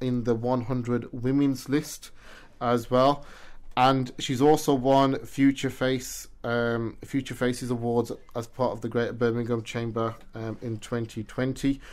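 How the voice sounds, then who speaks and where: A man talks with a British accent at a medium pitch and a fairly slow pace, with fairly even intonation. The recording is very clean, with a silent background. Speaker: radio show and podcast host. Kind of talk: interview. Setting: studio.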